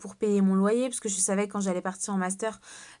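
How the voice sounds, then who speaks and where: A woman's medium-pitched voice over a quiet background. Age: 20s. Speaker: network marketing seller. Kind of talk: sales pitch. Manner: hesitant, many fillers.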